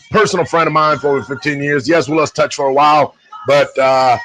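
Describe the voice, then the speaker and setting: Over background music, the speech moves at a very fast pace with fairly even intonation. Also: man. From Puerto Rico. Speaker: livestream host and DJ. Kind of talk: casual chat.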